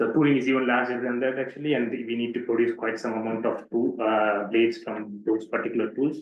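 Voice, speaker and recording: A flat, monotone delivery at a very fast clip, with hardly any pauses. Audible room echo surrounds the voice. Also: man, medium pitch for a man. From southern India, Pondicherry. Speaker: doctoral researcher. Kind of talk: lecture.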